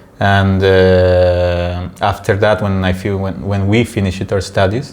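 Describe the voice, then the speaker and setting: Very deep, low male speech delivered in a monotone, flat intonation. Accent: Spanish. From Peru, then Italy from age ten. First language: Spanish. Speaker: podcast host. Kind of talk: casual chat. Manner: halting, many fillers.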